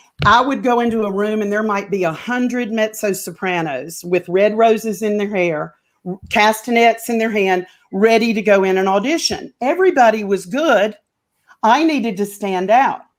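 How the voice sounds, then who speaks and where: In a Southern US accent, a woman speaks at a moderate pace with a fairly high pitch and an animated tone. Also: ordinary pitch variation. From North Carolina. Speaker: opera singer. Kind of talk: interview.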